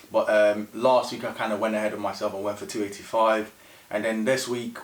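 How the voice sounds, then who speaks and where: Noticeable background noise sits behind a man speaking at a fairly quick pace. His medium-pitched voice stays monotone and flat. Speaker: powerlifting vlogger. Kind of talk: casual vlog voiceover. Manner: fast.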